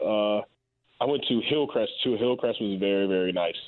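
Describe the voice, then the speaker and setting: A man's plain, everyday voice with an American accent, ordinary pitch variation and a moderate pace. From Raleigh, North Carolina, US South. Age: 20s. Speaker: pro football player. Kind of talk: interview.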